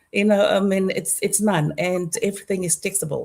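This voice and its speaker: A woman's dark, mellow, somewhat breathy voice at a moderate pace, with ordinary pitch variation. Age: 60s. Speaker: digital business owner. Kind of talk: casual chat. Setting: live video stream. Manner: halting.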